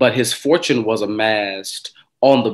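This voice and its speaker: A man talks at a very slow pace with fairly even intonation. Music plays in the background. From Kentucky. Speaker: pastor. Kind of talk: panel discussion remarks. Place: home room. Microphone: video call.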